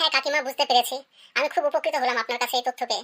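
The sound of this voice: A woman uses a high-pitched, cartoonish character voice at a very fast pace, with fairly even intonation. The recording is very clean, with a silent background.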